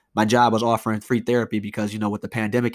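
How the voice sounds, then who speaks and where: A man's fairly low, monotone, flat voice on a very clean recording with a silent background. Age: 20s. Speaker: podcast host and YouTuber. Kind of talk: casual solo monologue. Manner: hesitant, many fillers.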